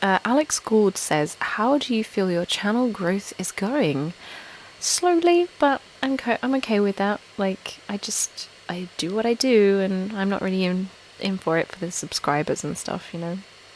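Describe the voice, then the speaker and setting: Against noticeable background noise, a woman talks at a fairly slow pace with a medium pitch and lively intonation. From Essex, England. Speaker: ASMR YouTuber. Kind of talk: casual live stream chat. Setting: live stream from home. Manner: normal speaking volume, not whispering.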